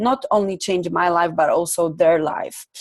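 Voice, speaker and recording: At a moderate pace, a woman talks with ordinary pitch variation. Her pitch is medium. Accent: Polish. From Poland. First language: Polish. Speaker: life coach and trainer. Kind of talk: online workshop presentation. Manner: hesitant, many fillers.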